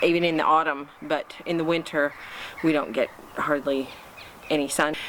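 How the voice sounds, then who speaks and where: The speaker has an American accent and a fairly slow pace. Background noise is noticeable. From United States. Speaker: home gardening vlogger. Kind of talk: casual vlog talk to camera. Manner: hesitant, many fillers.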